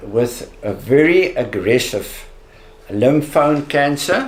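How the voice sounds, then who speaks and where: Speech from a man comes very slowly. His pitch shows ordinary variation. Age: 70s. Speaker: cancer survivor. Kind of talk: testimony. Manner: halting.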